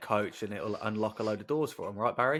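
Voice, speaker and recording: The recording is very clean, with a silent background. A man with a fairly low pitch speaks with an English accent. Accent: English, non-regional. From England, Northampton. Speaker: podcast host. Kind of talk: interview.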